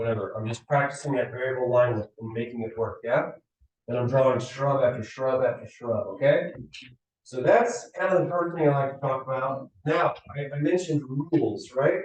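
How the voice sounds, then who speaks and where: In a room with audible echo, a man speaks at a moderate pace and a fairly high pitch with ordinary pitch variation. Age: 40s. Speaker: design lecturer. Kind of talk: lecture. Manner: animated.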